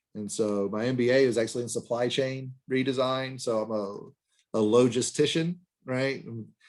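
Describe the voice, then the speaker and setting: At a moderate pace, a man with an Alabama accent talks in a medium pitch with ordinary pitch variation. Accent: Southern US (Alabama). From US South, Birmingham, Alabama. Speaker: finance professor. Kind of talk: lecture. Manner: halting, many fillers.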